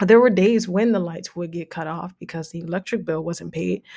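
On a very clean recording with a silent background, a woman with a New Jersey accent speaks at a moderate pace in a dark, mellow tone. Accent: American, New Jersey. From New Jersey, Jersey City. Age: 30s. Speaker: financial consultant, podcast host. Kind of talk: casual monologue.

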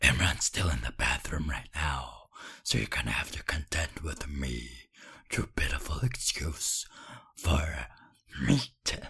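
A man uses a put-on character voice that is raspy and very deep and low, moving at a moderate pace with long, frequent pauses.

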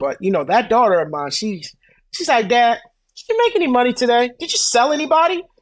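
In a very clean recording with a silent background, a man with a New York accent speaks with lively intonation. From Brooklyn, New York. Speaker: credit repair business owner. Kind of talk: interview.

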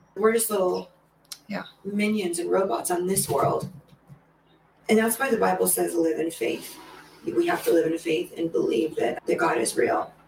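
Over noticeable background noise, a woman with an American accent talks at a moderate pace, leaving long, frequent pauses. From Los Angeles, California. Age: 50s. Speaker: dance mom and studio co-owner. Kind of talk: casual chat.

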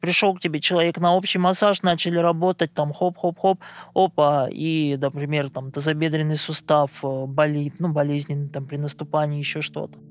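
A man's ordinary speaking voice, fairly high in pitch, with fairly even intonation at a moderate pace and a dry, close sound with no echo. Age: 30s. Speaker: blind massage therapist. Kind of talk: interview monologue.

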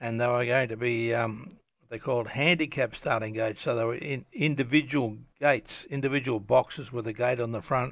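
This man has an Australian accent. The intonation is fairly even throughout. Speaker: storyteller recounting his life story. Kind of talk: personal memoir monologue. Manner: halting, many fillers.

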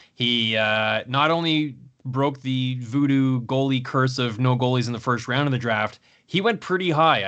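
A man with a Canadian accent talks in an ordinary speaking voice at medium pitch with ordinary pitch variation. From Canada. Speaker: hockey podcast host. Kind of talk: casual chat.

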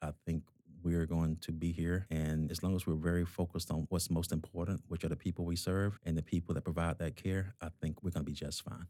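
At a fairly quick pace, a man talks in a very deep, low voice with a dark, mellow tone and monotone, flat intonation. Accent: American. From US South, Georgia. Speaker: hospital executive. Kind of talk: interview conversation.

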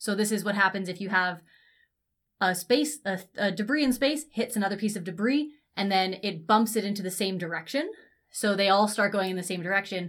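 A woman with a Canadian accent has an unremarkable speaking voice at a medium pitch, with ordinary pitch variation at a fairly quick pace. The recording is very clean, with a silent background. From Canada, Ontario near Toronto. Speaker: science communicator podcast co-host. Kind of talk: casual chat.

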